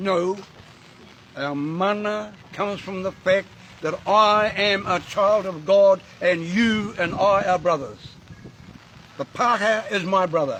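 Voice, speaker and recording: A man with a high pitch talks at a very slow pace with long, frequent pauses and fairly even intonation, over noticeable background noise. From New Zealand, Māori. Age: 80s+. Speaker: Māori elder and activist. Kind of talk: speech to a gathering. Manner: impassioned.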